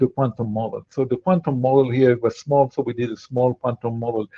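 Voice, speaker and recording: A man speaks with a French accent. His pace is fairly quick. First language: Spanish. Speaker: quantum machine learning researcher, startup founder. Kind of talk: online Q&A talk. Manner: halting, many fillers and repetitions.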